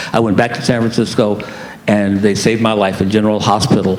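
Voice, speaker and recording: A man at a medium pitch speaks in a room with audible echo and noticeable background noise. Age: 70s. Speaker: HIV advocate and panelist. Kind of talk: personal testimony on a conference panel. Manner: halting, with frequent fillers and repetitions.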